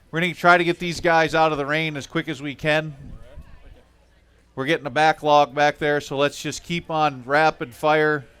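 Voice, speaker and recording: A man with a plain, everyday voice, fairly high in pitch, at a moderate pace. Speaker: tournament weigh-in announcer. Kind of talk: live event announcing. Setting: outdoors in the rain at a weigh-in. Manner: upbeat, chatty.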